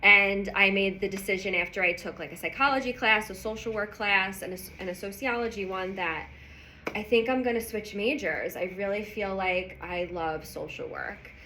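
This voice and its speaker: A woman with a New York accent speaks at a moderate pace and medium pitch, with ordinary pitch variation. Her loudness swings widely, and room echo is audible. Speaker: business founder and guest lecturer. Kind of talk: lecture. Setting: university lecture hall with audience. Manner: animated.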